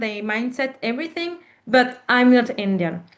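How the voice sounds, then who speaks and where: With a strong French accent, a woman speaks at a moderate pace in a high voice with ordinary pitch variation. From Reunion Island. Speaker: panel speaker on diaspora history. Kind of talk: Q&A discussion.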